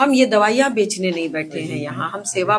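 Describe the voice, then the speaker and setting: A woman's medium-pitched, animated voice at a moderate pace, with very wide pitch swings. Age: 60s. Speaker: ayurvedic doctor running a clinic. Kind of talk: interview.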